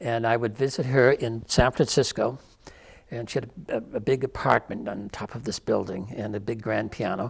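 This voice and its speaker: A somewhat breathy man's voice with ordinary pitch variation, on a very clean recording with a silent background. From Irish-Scottish immigrant. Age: 70s. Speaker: storyteller and hospice volunteer. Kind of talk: radio interview. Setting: studio.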